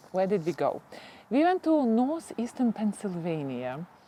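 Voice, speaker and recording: At a fairly slow pace, a woman with a Ukrainian accent speaks in a fairly high pitch with a dark, mellow tone. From Ukraine. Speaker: gardening YouTuber. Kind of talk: casual chat. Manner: halting.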